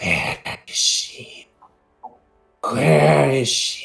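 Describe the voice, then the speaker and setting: A raspy, hissing put-on character voice from a man, with faint music in the background. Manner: eerie, repetitive, searching.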